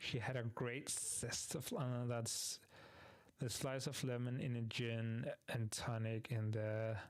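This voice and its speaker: A man with a non-native accent speaks very slowly at a medium pitch, his loudness very even and his intonation fairly even. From Greenland. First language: not English. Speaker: VTuber streamer. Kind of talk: casual live stream chat. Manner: halting, searching for words.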